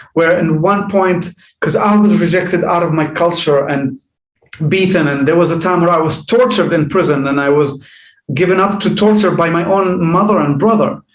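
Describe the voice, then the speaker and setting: A man with an Arabic accent speaks at a moderate pace. His pitch is high, with ordinary variation. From Jordan. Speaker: life coach. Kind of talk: podcast interview. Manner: halting.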